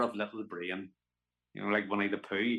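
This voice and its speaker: The speaker has a Northern Irish accent. Intonation stays fairly even. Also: man. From Belfast, Northern Ireland. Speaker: actor, musician, storyteller. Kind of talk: interview answer.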